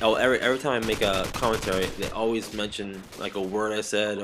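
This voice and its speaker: Over noticeable background noise, a man speaks at a very fast pace with monotone, flat intonation. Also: fairly low pitch for a man. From Boston. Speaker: gaming commentator.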